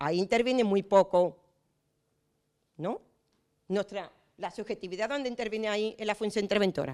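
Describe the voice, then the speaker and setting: A woman with an Andalusian accent speaks in an animated tone at a medium pitch, leaving long, frequent pauses. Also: ordinary pitch variation. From Andalusia, Spain. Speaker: municipal auditor and lecturer. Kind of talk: conference talk. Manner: fast.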